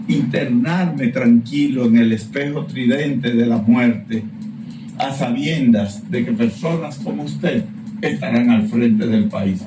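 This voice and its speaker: Very slow speech from a man at a medium pitch, with very wide swings in pitch. The recording has noticeable background noise and audible room echo. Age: 60s. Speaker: professor. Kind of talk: casual chat.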